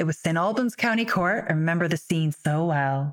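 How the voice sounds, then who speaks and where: Speaking at a fairly quick pace, a woman has a fairly low pitch and lively intonation. Hers is an unremarkable speaking voice. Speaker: barrister and podcast host. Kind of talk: interview conversation.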